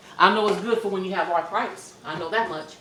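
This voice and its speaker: A woman talking at a fairly quick pace amid noticeable background noise. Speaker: home cooking vlogger. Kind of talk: casual cooking tutorial. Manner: loud; animated.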